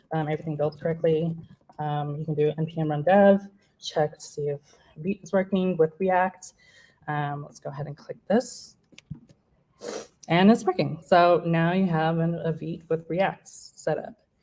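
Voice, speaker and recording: Dark and mellow, a woman's fairly low voice is somewhat breathy. Her loudness swings widely, and she leaves long, frequent pauses. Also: fairly even intonation, moderate pace. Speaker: software developer giving a talk. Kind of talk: technical demo talk.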